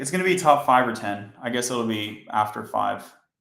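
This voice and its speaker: In a room with audible echo, a man talks at a medium pitch. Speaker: software engineer streaming coding. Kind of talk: live coding stream. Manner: monotone.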